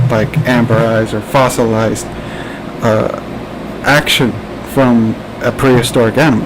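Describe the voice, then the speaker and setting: Over noticeable background noise, a man with a New Jersey accent talks at a fairly slow pace and a medium pitch. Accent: New Jersey American. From New Jersey, US. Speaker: podcast host. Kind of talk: casual chat. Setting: live stream. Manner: halting.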